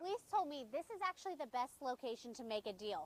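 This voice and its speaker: A woman talks at a fairly quick pace with very wide pitch swings. The sound is dry and close, with no echo. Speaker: television news reporter. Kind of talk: broadcast news reporting.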